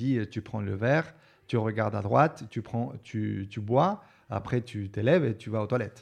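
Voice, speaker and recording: A man at a fairly slow pace, medium in pitch with ordinary pitch variation, with a Spanish accent, over a quiet background. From Argentina. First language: Spanish (speaking French). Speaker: actor. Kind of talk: interview. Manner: halting.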